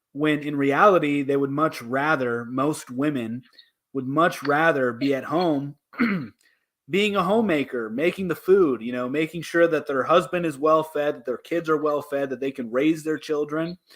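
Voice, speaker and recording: Moderate pace and ordinary pitch variation from a male speaker, an unremarkable speaking voice, fairly high in pitch. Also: very clean recording, silent background. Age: 20s. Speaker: debate show host. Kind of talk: casual debate chat. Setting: livestream.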